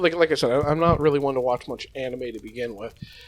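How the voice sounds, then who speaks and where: With noticeable background noise behind him, a man speaks in an American accent. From United States. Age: adult. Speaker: youtuber. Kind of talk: casual unscripted monologue. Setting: at home. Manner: fast; halting, many false starts.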